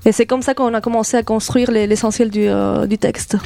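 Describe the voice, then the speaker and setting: Noticeable background noise sits behind a woman speaking at a fairly quick pace. Her pitch is fairly high and her intonation fairly even. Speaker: theatre director. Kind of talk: radio interview.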